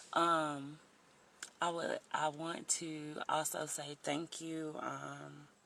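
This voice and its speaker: Speaking at a very slow pace, a woman has a slight Southern US accent. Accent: a little country. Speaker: life coach vlogger. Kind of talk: motivational livestream talk. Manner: casual, chatty with fillers.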